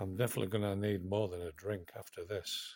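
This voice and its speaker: With a Yorkshire accent, a man speaks in a fairly low, somewhat breathy voice. The recording is very clean with a silent background. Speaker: coin collector YouTuber. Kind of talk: unboxing video. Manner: whispering at times.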